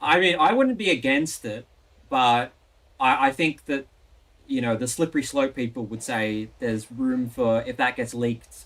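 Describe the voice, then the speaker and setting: In an Australian accent, a man talks at medium pitch with ordinary pitch variation. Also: moderate pace. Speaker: election results streamer. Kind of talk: casual live-stream chat.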